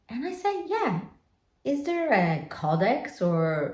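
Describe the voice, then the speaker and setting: Audible room echo surrounds a somewhat breathy woman whose voice moves in very wide pitch swings. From Poland. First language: Polish. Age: 50s. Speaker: lifestyle vlogger. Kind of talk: reflective personal vlog monologue.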